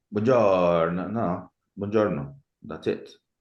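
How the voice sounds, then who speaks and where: Speaking at a very slow pace, a man with a very deep, low pitch and vocal fry is heard against audible room echo. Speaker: university teacher. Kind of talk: lecture. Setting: video call.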